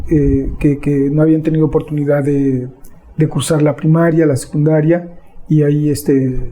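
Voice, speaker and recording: Fairly high-pitched yet dark and mellow in tone, a somewhat breathy man speaks at a moderate pace with monotone, flat intonation and very even loudness. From Mexico, Sierra Nororiental de Puebla. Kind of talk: interview. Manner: hesitant, many fillers.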